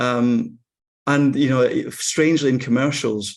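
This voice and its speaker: Against a quiet background, a man speaks with a Scottish accent. His voice sits at a medium pitch with monotone, flat intonation. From Scotland. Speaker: actor. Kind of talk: interview conversation.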